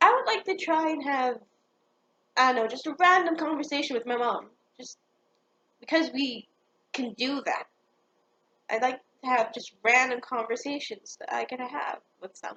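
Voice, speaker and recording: The voice is raised and projected, with a bright, sharp tone and big swings in loudness. It moves at a moderate pace with ordinary pitch variation and long, frequent pauses. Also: woman, high pitch for a woman. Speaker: amateur stand-up comic. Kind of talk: personal monologue. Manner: halting, hesitant.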